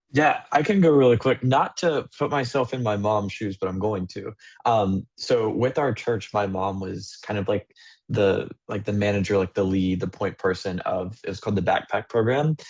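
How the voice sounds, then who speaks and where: This is a normal speaking voice, a man's, fairly low in pitch with ordinary pitch variation. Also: moderate pace. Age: 20s. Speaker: student mentor panelist. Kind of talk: virtual panel discussion. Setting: video call.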